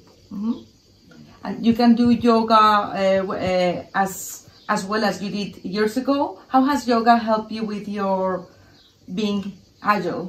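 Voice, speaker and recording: A plain, everyday voice from a woman, fairly high in pitch, fairly slow, with fairly even intonation. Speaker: interviewer. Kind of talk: interview questions.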